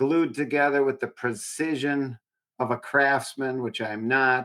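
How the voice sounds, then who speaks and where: This man talks at a fairly slow pace in a medium pitch, his bright, sharp tone carried on fairly even intonation. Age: 60s. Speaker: sports podcast co-host. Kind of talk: casual chat.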